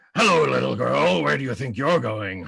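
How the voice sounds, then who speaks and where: A man's put-on character voice, fairly low for a man, with very wide pitch swings at a moderate pace. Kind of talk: comic improv acting. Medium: stage play. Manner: theatrical, growling.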